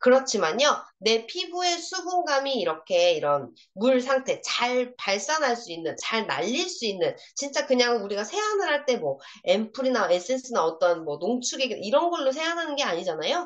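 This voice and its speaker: Over noticeable background noise, a woman speaks at a moderate pace in a high voice with very wide pitch swings. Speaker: product trainer for beauty sellers. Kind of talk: product training lecture. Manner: animated, interactive.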